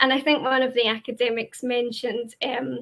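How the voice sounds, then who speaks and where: A woman with a Glaswegian accent speaks at a moderate pace, in a bright, sharp tone. Her intonation is monotone and flat, and the recording is very clean with a silent background. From Scotland, Glasgow. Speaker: university representative. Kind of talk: presentation. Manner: hesitant, many fillers.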